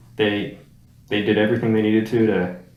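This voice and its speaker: Amid audible room echo, a man with an American accent speaks at a moderate pace in a fairly low voice. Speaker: movie review show co-host. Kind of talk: casual chat. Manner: animated.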